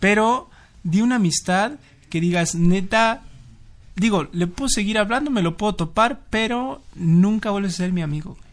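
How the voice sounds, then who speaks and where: With a Mexico City accent, a man talks at a moderate pace in a high pitch. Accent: Mexican Spanish (Mexico City). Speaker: podcast co-host. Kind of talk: casual chat.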